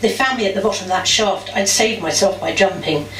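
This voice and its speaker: Noticeable background noise sits behind a woman talking. She speaks at a very fast pace and a medium pitch. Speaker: spoken word performer. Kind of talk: first-person testimony reading. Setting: live venue.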